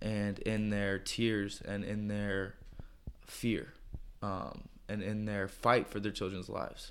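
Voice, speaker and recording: A man's fairly low, monotone voice with an American accent, very slow and flat, with audible room echo. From US Midwest, St. Louis area (Florissant, Missouri). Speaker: PE teacher and church planter. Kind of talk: casual interview conversation. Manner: hesitant, many fillers.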